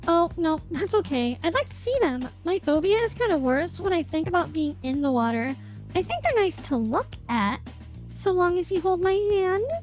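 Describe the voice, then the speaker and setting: Over clear background music, a man does a put-on character voice at an extremely high pitch and a moderate pace. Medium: role play. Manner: shy, nervous.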